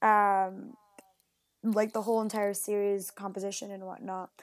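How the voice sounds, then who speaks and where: A woman is talking. She has an American accent. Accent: American-sounding English. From Puerto Rico and Mexico. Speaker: marine biologist and PhD student. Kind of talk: casual interview chat.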